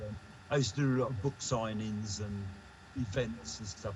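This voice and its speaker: Somewhat breathy, a man with an English accent speaks in a fairly low pitch. His pace is moderate and his intonation fairly even. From England. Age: 70s. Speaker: artist. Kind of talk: casual chat.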